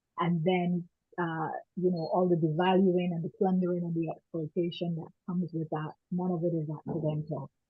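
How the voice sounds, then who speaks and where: With a strong Barbadian accent, a woman speaks at a moderate pace in a fairly low pitch, her intonation monotone and flat. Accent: strong Barbadian (Bajan). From Barbados and Canada. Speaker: women's rights activist. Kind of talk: panel discussion.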